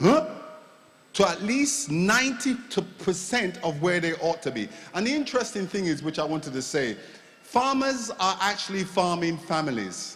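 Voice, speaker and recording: Over noticeable background noise, a man with a high pitch speaks at a moderate pace with very wide pitch swings. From Jamaica. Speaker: agricultural consultant. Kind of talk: panel discussion.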